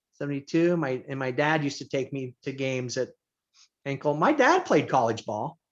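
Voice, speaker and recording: Speaking in an unremarkable speaking voice with an American accent, a man talks at a moderate pace with a fairly high pitch and fairly even intonation. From Indiana. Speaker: teacher and basketball coach. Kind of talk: casual chat.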